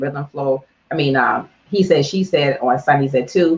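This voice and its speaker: In an American accent, a woman speaks with a somewhat breathy voice. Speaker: internet radio host. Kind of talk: motivational business talk. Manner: animated.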